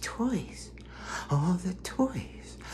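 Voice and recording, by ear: The speaker uses a put-on character voice. Clear background noise runs underneath.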